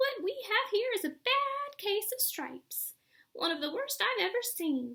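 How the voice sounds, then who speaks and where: A woman performs a squeaky put-on character voice at a moderate pace. Her pitch is extremely high and swings very widely. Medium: read story. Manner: warm, gentle.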